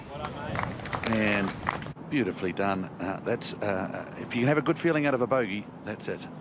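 Over noticeable background noise, a man with a medium pitch talks at a moderate pace in a relaxed tone with lively intonation. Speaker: golf commentator. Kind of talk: live golf commentary over highlights. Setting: voiceover on highlight reel. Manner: relaxed, conversational, appreciative.

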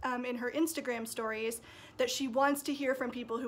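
A woman talks in a high voice at a fairly quick pace. Her intonation is monotone and flat. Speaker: sewing vlogger. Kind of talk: casual vlog chat. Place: home room. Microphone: phone near.

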